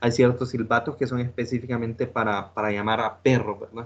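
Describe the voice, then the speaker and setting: A man of medium pitch at a moderate pace. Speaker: teacher. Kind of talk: lecture. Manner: halting, many fillers.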